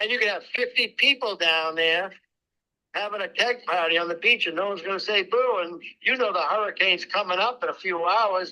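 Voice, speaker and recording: A man with a high, bright, sharp voice speaks very fast in a raised, projected way. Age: old. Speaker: home builder selling land. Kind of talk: phone sales negotiation. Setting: phone call from a loud restaurant. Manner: loud.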